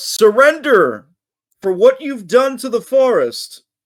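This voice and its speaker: A man uses a put-on character voice with an extremely high pitch. He speaks at a fairly slow pace. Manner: shouting.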